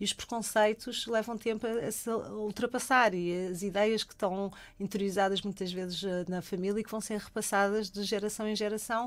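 In a very clean recording with a silent background, a woman speaks with a European Portuguese accent. Her fairly high voice keeps a monotone, flat intonation at a moderate pace. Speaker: sexologist. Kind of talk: radio interview. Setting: radio studio.

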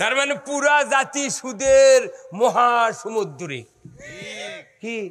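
A man talks in an animated tone at an extremely high pitch with ordinary pitch variation. There is light background noise. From Bangladesh. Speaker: Islamic preacher. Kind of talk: sermon. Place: stage. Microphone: podium.

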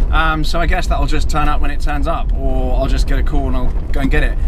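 Noticeable background noise fills the recording. Over it, a man speaks very fast. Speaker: car vlogger. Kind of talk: casual vlog chat. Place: car. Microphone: phone near.

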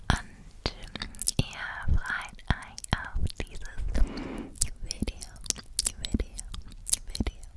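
A woman whispers. She speaks at a very slow pace. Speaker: ASMR creator. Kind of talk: soft ASMR chat. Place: home room. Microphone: studio mic.

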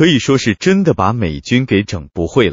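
His voice shows vocal fry and very wide pitch swings as a man of medium pitch talks at a moderate pace. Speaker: political commentary narrator. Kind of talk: scripted narration.

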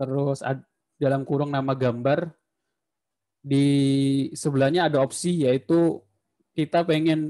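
Against a quiet background, a man speaks at a fairly high pitch in a dark, mellow tone with monotone, flat intonation. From Indonesia. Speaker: university lecturer. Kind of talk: lecture. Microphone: video call.

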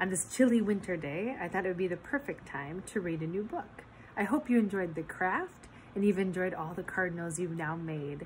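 A woman's gentle, playful tone with lively intonation over light background noise. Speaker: nature preserve storytime reader. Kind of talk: bedtime story reading aloud to children. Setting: video recording for online viewers. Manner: soft, gentle, slow storyteller pacing with playful, warm expression. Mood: warm, cheerful. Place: home room. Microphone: phone near.

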